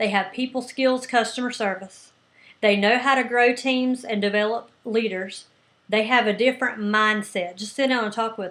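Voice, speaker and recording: Here a woman speaks with a fairly high pitch. Her pace is moderate. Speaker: business coach. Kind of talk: coaching talk. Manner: loud; animated.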